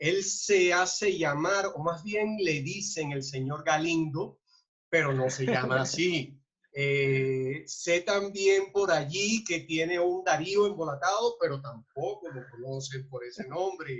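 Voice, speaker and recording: The man's voice sits fairly high. He talks very slowly. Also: ordinary pitch variation. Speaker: interviewer host. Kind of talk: talk show intro.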